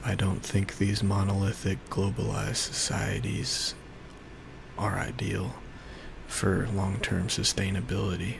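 A soft-spoken man talks at a fairly slow pace in a very deep, low pitch with ordinary pitch variation, while noticeable background noise runs underneath. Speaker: ASMR creator. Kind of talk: ASMR life update talk to camera. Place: home room. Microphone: studio mic.

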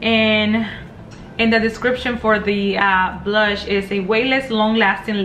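A woman's very slow, monotone, flat delivery over faint music in the background. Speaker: beauty vlogger. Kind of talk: casual vlog chat, product review. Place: home room. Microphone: phone near.

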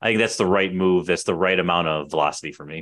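A man with a Chicago accent, very deep and low in pitch, at a very fast pace over a quiet background. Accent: Chicago American. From Chicago, Portage Park. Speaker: podcast host, real estate agent; podcast host. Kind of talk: casual interview chat. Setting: video call. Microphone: studio mic.

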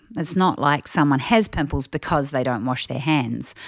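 A woman speaks with a New Zealand accent at a moderate pace. The recording is very clean, with a silent background. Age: 40s. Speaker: family audio program presenter. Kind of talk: scripted narration. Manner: animated.

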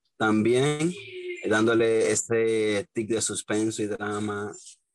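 With a Dominican accent, the speaker keeps a fairly even intonation. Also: man. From Dominican Republic. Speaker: independent filmmaker; guest. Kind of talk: interview. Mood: relaxed, smiling. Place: home room. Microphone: video call.

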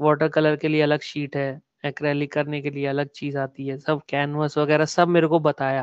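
At a moderate pace, the speaker holds a monotone, flat intonation, with a quiet background and a dry sound with no echo. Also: man. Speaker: artist; podcast guest. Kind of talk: casual interview. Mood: relaxed, reflective. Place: home room.

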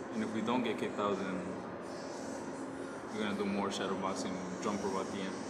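Loud background noise behind a man talking at a fairly quick pace. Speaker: boxer vlogger. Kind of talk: casual vlog chat. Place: gym. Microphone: phone near.

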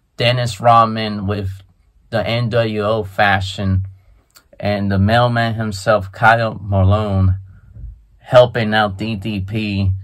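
Against a quiet background, a man speaks fairly slowly in a fairly low pitch with monotone, flat intonation. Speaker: sports and wrestling vlogger. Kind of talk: casual talk to camera, commentary on wrestling news. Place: home room. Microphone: phone near.

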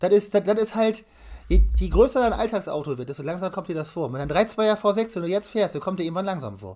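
A man's high-pitched voice at a very fast pace, with lively intonation, over a quiet background. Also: big swings in loudness. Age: 20s. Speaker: car YouTuber and collector; car YouTuber. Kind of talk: casual chat. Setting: live stream. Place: home room. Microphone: webcam.

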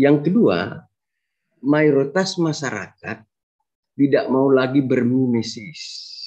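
A man's fairly high voice with a dark, mellow tone, lively intonation and a very slow pace against a quiet background. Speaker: sociology professor. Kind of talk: lecture. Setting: video call. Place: home room. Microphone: video call.

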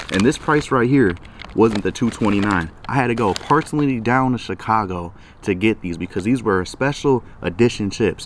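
Energetic in tone, a man with an American accent speaks at a moderate pace and a fairly low pitch, with ordinary pitch variation, a dry sound with no echo, and light background noise. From US Midwest, Milwaukee. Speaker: YouTuber. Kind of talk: product review vlog. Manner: casual, energetic. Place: garden. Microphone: phone near.

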